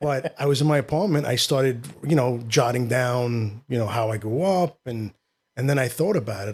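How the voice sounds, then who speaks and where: A man with a New York accent speaks fairly quickly in a medium-pitched, somewhat breathy voice with ordinary pitch variation. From New York City, Queens. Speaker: actor and filmmaker. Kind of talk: casual interview.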